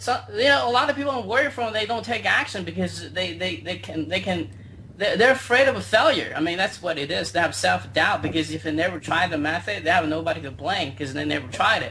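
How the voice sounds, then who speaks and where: A man with a Chinese accent talks at a very fast pace with hardly any pauses. Noticeable background noise sits behind him. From China. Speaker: internet marketer. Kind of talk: interview. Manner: halting.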